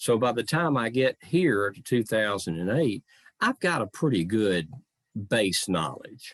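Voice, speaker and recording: Against a quiet background, a man with a Southern accent talks at a medium pitch and a fairly slow pace, with very wide pitch swings and a dry, close sound with no echo. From US South, Memphis, Tennessee. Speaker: living historian. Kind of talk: talk to online audience. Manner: measured phrasing.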